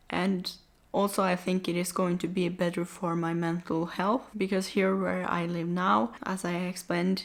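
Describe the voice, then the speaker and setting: Speaking with a non-native accent, this voice moves at a fairly slow pace with fairly even intonation. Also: woman. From Norway. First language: not English. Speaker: vlogger. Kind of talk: casual vlog talk to camera.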